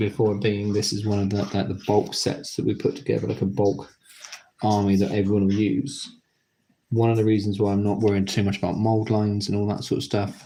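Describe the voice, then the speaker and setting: The speaker is a man with a British accent and a fairly low pitch. His tone is relaxed, dark and mellow, and his intonation is fairly even. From Britain. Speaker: YouTuber building model kits. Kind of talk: live stream commentary while building. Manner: casual, relaxed, with pauses.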